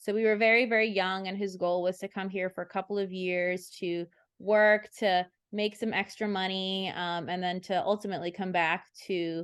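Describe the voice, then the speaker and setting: A woman's medium-pitched, flat monotone at a moderate pace over a quiet background. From Brazil (São Paulo), raised in Massachusetts from age 6. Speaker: veterinarian. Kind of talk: interview.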